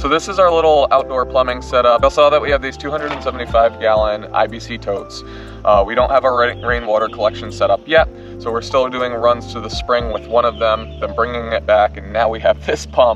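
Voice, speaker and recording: Clear music plays in the background as a man speaks at a moderate pace. The sound is dry, with no echo. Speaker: homesteader vlogger. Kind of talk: casual vlog chat. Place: garden.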